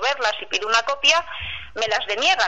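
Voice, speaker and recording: A woman speaks at a fairly high pitch with lively intonation. Her pace is moderate, and there is noticeable background noise. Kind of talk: testimony. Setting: phone call.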